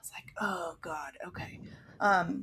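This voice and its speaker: A woman with an American accent has an ordinary speaking voice, fairly low in pitch with ordinary pitch variation. She talks at a fairly slow pace. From Maryland, US. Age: 30s. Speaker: podcast co-host, mother. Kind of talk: casual chat.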